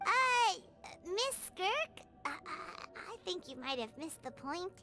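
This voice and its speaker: Loud music plays behind a put-on character voice with an extremely high pitch. It moves at a fairly slow pace with very wide pitch swings. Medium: video game. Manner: excitable, chatty.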